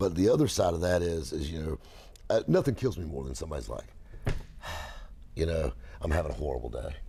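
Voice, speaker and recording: This man has a very deep, low voice with a dark, mellow tone and vocal fry, speaking very fast in a Southern US accent yet leaving long, frequent pauses. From South Carolina. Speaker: car salesman. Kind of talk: casual chat. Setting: car shop.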